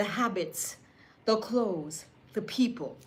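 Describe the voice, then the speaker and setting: Audible room echo hangs around the woman's voice. Her pitch varies in an ordinary way. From Jamaica. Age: 60s. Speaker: lifestyle vlogger and seamstress. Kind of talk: casual motivational talk to camera. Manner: animated.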